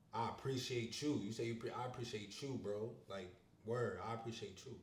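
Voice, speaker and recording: A man talks at a medium pitch and moderate pace with fairly even intonation. Audible room echo and noticeable background noise fill the recording. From Upstate New York (Syracuse). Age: 20s. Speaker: interviewee. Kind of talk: casual chat. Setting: street interview on camera.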